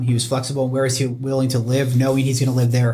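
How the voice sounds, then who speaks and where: A man speaks in a flat monotone with a somewhat breathy voice. Room echo is audible. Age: 30s. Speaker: mortgage loan officer. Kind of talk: casual chat.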